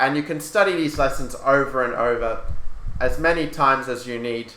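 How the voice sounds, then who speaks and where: There is audible room echo as a man with an Australian accent talks at a moderate pace with ordinary pitch variation. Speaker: chess grandmaster and coach. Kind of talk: lecture.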